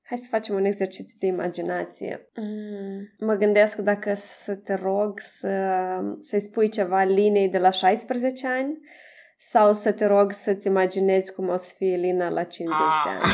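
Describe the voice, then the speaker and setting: This woman has an ordinary speaking voice, pitched in the middle. She talks fairly slowly, with fairly even intonation. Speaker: podcast host. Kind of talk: interview.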